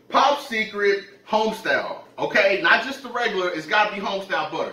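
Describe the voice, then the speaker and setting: Audible room echo and light background noise surround a man's raised, projected voice. He talks at a fairly quick pace. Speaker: mukbang vlogger. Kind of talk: casual vlog chat. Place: kitchen.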